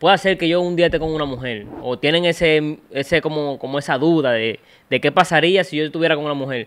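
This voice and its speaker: Against a quiet background, a man with a Dominican accent talks at a very fast pace in a fairly high pitch with ordinary pitch variation. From Dominican Republic. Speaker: podcast host, interviewer; podcast host. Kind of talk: casual interview chat. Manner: animated, joking. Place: studio. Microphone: studio mic.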